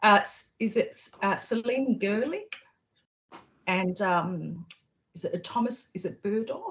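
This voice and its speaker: Speaking very slowly with long, frequent pauses, a woman with an Australian accent has a fairly high, somewhat breathy voice and ordinary pitch variation. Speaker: PhD candidate, researcher. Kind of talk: video call interview. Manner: hesitant, many fillers.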